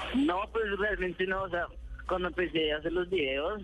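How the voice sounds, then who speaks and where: The speaker is a man with a high pitch. He keeps a moderate pace and ordinary pitch variation. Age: 20s. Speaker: youtuber. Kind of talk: phone interview. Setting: phone call. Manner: halting.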